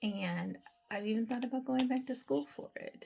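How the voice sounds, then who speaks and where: Her tone is dark and mellow. This woman also sounds somewhat breathy. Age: 40s. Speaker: mental health counselor and beauty vlogger. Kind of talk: casual vlog while doing skincare. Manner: chatty, with frequent um fillers.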